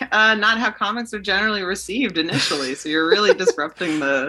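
Lively intonation from a natural reading voice

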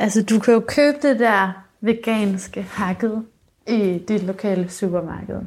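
Delivered very slowly, the voice shows ordinary variation in pitch. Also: woman, medium pitch for a woman. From rural Denmark. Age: 20s. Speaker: musician and singer-songwriter. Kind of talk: casual interview chat.

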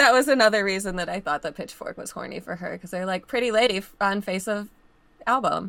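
Speaking very fast, a woman with a medium-pitched, bright, sharp tone shows ordinary pitch variation and big swings in loudness. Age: 20s. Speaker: podcast guest. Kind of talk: casual chat.

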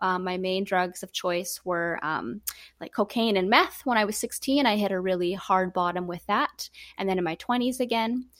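A woman with a Canadian accent speaks at a moderate pace and medium pitch, with ordinary pitch variation and a plain, everyday voice. The recording is very clean, with a silent background. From Canada. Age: 30s. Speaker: recovery organization co-founder. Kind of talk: interview.

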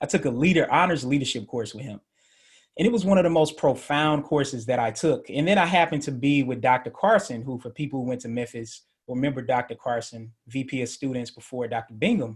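On a very clean recording with a silent background, a man talks at a very fast pace. His somewhat breathy voice sits at a medium pitch with ordinary pitch variation. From Middle Tennessee and Atlanta. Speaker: sociology professor. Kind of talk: radio interview.

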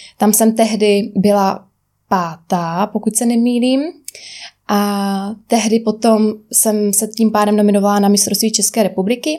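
Using an unremarkable speaking voice, a woman talks at a fairly slow pace with a fairly high pitch, fairly even intonation and very even loudness. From Czech Republic, Rožnov (Moravian Wallachia). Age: 20s. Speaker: personal trainer and bikini fitness champion. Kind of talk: interview.

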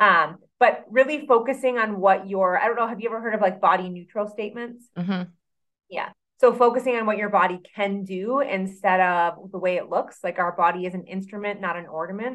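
Fairly quick and at medium pitch, a woman speaks in a normal speaking voice with ordinary pitch variation. Her loudness swings widely. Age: 30s. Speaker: personal trainer and nutrition coach. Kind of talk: casual interview chat.

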